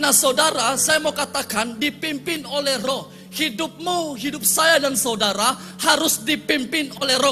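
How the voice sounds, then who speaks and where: Over music in the background, a man with an extremely high pitch speaks in a raised, projected voice at a moderate pace, with ordinary pitch variation and hardly any pauses. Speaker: pastor. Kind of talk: sermon. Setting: church. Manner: animated.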